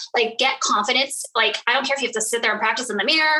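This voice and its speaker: A woman uses a raised, projected voice with a high pitch. She speaks at a very fast pace with ordinary pitch variation. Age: 40s. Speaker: network marketing leader. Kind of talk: casual interview.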